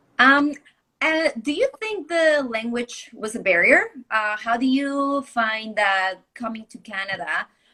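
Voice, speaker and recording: In a non-native accent, the speaker goes at a fairly slow pace with a bright, sharp tone, lively intonation, and big swings in loudness. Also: woman, high pitch for a woman. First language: not English. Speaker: interviewer. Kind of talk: live video interview.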